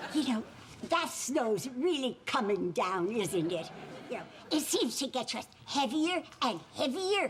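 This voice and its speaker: Using a put-on character voice, a woman speaks high in pitch with a gentle tone, very wide pitch swings and a fairly slow pace, over clear background noise. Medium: stage play. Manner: gentle, folksy.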